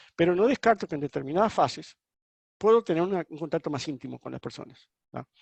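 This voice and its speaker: The background is quiet. The speech comes at a very fast pace. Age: 60s. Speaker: webinar speaker, marketing consultant. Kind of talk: webinar Q&A. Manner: halting.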